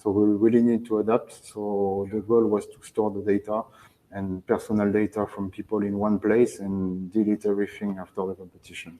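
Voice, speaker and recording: In a French accent, a man with a fairly low pitch speaks with monotone, flat intonation and big swings in loudness. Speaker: sports federation technology manager. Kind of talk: presentation and Q&A. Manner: halting.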